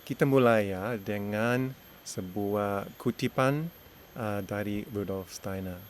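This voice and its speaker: A man with an English accent speaks at a very slow pace with ordinary pitch variation. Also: fairly low pitch for a man. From Australia. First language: English (speaking Indonesian). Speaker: education consultant and teacher. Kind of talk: lecture. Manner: halting.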